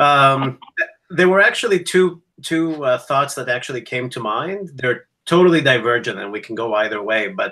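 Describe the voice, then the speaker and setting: Bright and sharp in tone, the speaker uses lively intonation at a moderate pace with a Greek accent. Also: man. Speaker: academic educator. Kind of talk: casual chat.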